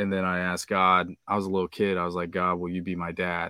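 Fast-paced, a man with an American accent speaks in a very deep, low pitch and a monotone, flat intonation, with a dry, close sound and no echo. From Kansas, US Midwest. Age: 30s. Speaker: podcaster and amateur rapper. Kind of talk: casual chat.

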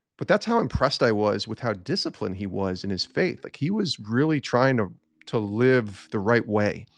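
With an American accent and a normal speaking voice, a man talks at a medium pitch and moderate pace with ordinary pitch variation. The background is quiet. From upstate New York (Albany area). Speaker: sports broadcaster and author. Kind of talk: faith testimony interview.

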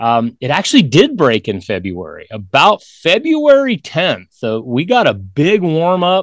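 An American-accented man talks at a fairly slow pace, his pitch swinging very widely. The recording is very clean with a silent background. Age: 50s. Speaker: hunting author. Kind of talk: casual chat.

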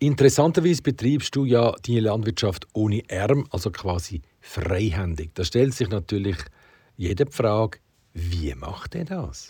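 A man's fairly low, somewhat breathy voice with a dark, mellow tone, fairly slow pace and very wide pitch swings, in a very clean recording over a silent background. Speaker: podcast host. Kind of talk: interview.

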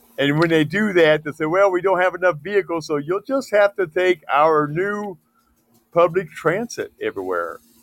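The high-pitched voice of a man comes through dry and close with no echo, moving at a moderate pace with ordinary pitch variation. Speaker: podcast co-host. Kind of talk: heated debate. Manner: animated.

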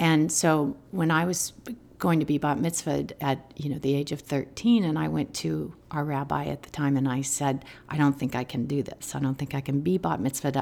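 A woman with an American accent speaks at a moderate pace in a very deep, low voice with vocal fry and ordinary pitch variation. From US Southwest, Albuquerque, New Mexico. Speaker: meditation teacher. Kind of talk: casual interview.

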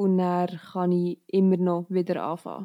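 Dry and close with no echo, a woman talks at a fairly slow pace in a flat monotone at medium pitch. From Switzerland, Bernese Oberland (Steffisburg near Thun). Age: 20s. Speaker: student and trail runner. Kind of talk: interview.

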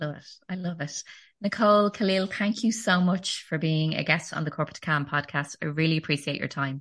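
A woman with a normal speaking voice talks at a fairly quick pace in a fairly low pitch. Her pitch variation is ordinary, her loudness swings widely, and the background is quiet. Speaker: podcast host. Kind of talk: interview chat.

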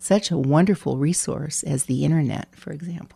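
A woman with vocal fry speaks at a moderate pace, her pitch very deep and low and her tone dark and mellow. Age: 60s. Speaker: former mayor. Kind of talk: casual chat.

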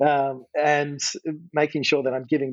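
Speaking with an Australian accent, a man uses a medium pitch and a moderate pace. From Western Australia, Margaret River. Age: 30s. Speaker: golf coach. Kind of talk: podcast interview.

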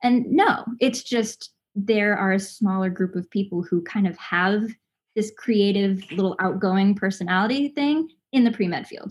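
Speaking at a moderate pace in an American accent, a woman has a somewhat breathy voice, medium pitch and ordinary pitch variation. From Los Angeles, family from Southern Indiana. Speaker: voice actress. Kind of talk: casual interview.

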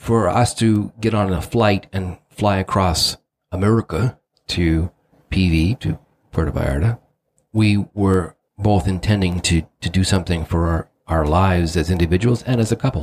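A man speaks at a moderate pace in a very deep, low voice, somewhat breathy, with very even loudness, ordinary pitch variation, and a dry, close sound with no echo. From England. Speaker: podcast co-host. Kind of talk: casual chat.

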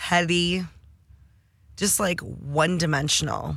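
A woman with an American accent speaks at a fairly low pitch, with vocal fry and ordinary pitch variation. The recording is very clean, with a silent background. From Detroit, Michigan. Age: 30s. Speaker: cannabis entrepreneur and sommelier. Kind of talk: casual interview. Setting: studio.

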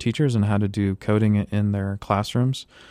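In an American accent, a man talks at a moderate pace with fairly even intonation, in a plain, everyday voice. The recording is very clean, the background silent. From US South, Florida (Tampa area). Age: 30s. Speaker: physics professor. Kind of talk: interview. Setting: studio.

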